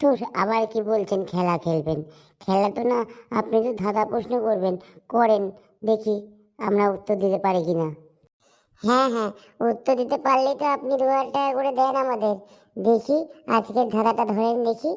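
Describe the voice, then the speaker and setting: A female-sounding cartoonish character voice, fairly high-pitched, at a moderate pace. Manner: sassy, chatty.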